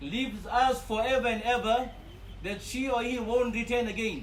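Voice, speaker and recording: A man speaks at an extremely high pitch with fairly even intonation. His pace is fairly slow. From Fiji. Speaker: Islamic scholar delivering a eulogy. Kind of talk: funeral eulogy sermon.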